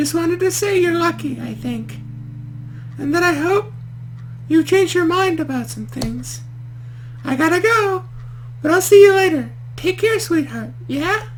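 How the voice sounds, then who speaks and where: Someone uses a put-on character voice at a moderate pace, stopping for long, frequent pauses. Background noise is clearly audible. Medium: game stream. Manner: talkative, rambling.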